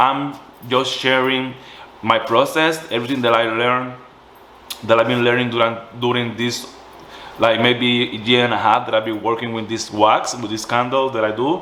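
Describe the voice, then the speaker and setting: Noticeable background noise and audible room echo surround the recording. A man with a medium pitch talks in a strong Puerto Rican accent. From Puerto Rico. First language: Spanish. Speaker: small business owner, candle maker. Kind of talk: tutorial. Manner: halting, self-correcting.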